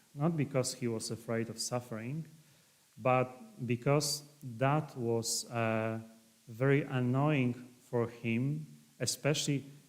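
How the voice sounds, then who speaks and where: Speaking very slowly in a Polish accent, a man keeps a fairly even intonation and leaves long, frequent pauses. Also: medium pitch for a man. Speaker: priest and historian. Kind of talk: lecture. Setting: livestream talk. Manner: halting.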